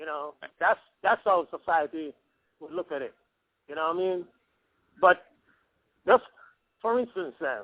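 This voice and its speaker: A man with a Jamaican accent speaks at a moderate pace with a high pitch and lively intonation. His loudness swings widely, and he takes long, frequent pauses. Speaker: caller. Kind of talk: phone interview. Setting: phone call. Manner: animated.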